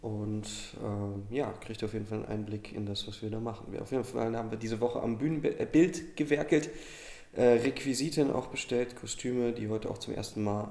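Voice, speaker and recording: A man speaks in an unremarkable speaking voice at a medium pitch. His pace is moderate and his pitch variation ordinary. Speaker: theatre podcast co-host. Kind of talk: casual chat.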